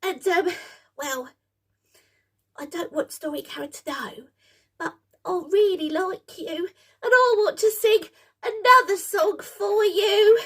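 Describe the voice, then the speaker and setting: Using a put-on character voice at an extremely high pitch, the speaker moves at a fairly slow pace with long, frequent pauses. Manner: nervous, excitable.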